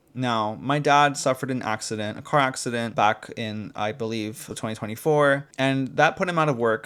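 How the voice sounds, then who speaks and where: A man with an American accent has a normal speaking voice at a medium pitch, talking at a moderate pace with ordinary pitch variation. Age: 20s. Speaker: YouTuber. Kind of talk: casual vlog rant. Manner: casual, filler-heavy. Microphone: new mic.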